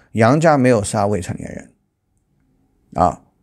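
Little sound comes from the background. At a moderate pace, the man speaks with lively intonation. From China. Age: 40s. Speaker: political commentary YouTuber; political commentator. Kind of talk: news commentary monologue; commentary. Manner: halting, many fillers. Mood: critical, opinionated. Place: home room. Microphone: lapel.

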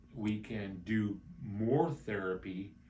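A man speaks at a fairly low pitch, somewhat breathy. Light background noise can be heard. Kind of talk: explanatory talk to camera.

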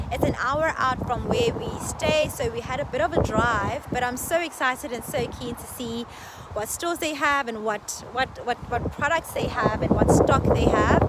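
A woman talks at a moderate pace as loud background noise fills the clip. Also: ordinary pitch variation, dry sound with no echo. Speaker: travel vlogger. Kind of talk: casual vlog chat. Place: street. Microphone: phone near.

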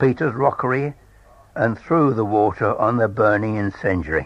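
A man speaks at a moderate pace with a southern English accent. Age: 80s+. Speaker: storyteller. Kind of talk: reading aloud.

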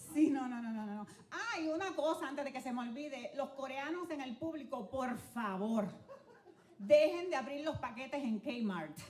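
With a strong Spanish accent, a woman speaks in a high, animated voice with lively intonation over light background noise. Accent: thick Spanish accent when speaking English. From Dominican Republic, raised in Puerto Rico. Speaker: comedian. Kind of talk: stand-up. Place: stage. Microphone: handheld.

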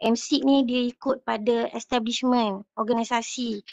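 A woman's high-pitched voice, dry and close with no echo, over a quiet background. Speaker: participant with industry research experience. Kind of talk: meeting discussion. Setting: video call.

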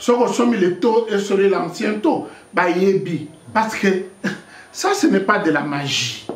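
In audible room echo, a man speaks at a high pitch. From DR Congo. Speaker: political activist; interviewee. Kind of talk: interview. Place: home room.

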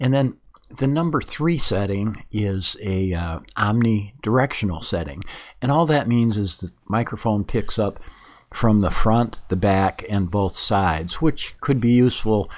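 In an unremarkable speaking voice, a man with fairly low pitch talks at a fairly slow pace with lively intonation against a quiet background. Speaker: reviewer of microphones. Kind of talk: tutorial.

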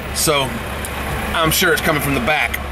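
This man's fairly quick speech comes through noticeable background noise. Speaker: vlogger. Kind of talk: casual vlog chat. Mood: relaxed, joking. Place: car.

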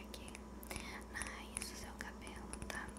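A woman whispers at a very slow pace. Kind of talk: soft ASMR role-play talk. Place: home room. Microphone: studio mic.

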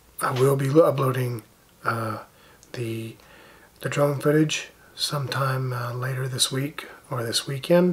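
Against noticeable background noise, a man at medium pitch speaks at a fairly slow pace with fairly even intonation and long, frequent pauses. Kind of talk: casual vlog talk to camera. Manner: halting, many fillers.

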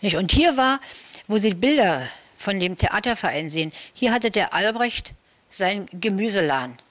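At a moderate pace and very even loudness, a woman with a medium-pitched voice speaks with very wide pitch swings and long, frequent pauses. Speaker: local eyewitness recalling Rudow history, former amateur theatre club member. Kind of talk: interview answer, local history recollection. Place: home room. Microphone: handheld.

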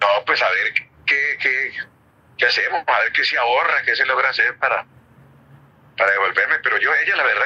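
Against noticeable background noise, the man's speech moves at a fairly quick pace. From Colombia. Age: 70s. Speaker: former footballer and youth coach. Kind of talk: interview answer.

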